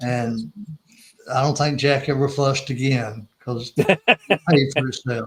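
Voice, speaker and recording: Breathing audibly, a man speaks fairly slowly with fairly even intonation and long, frequent pauses. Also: medium pitch for a man. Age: 70s. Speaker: former missions agency staffer. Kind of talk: interview.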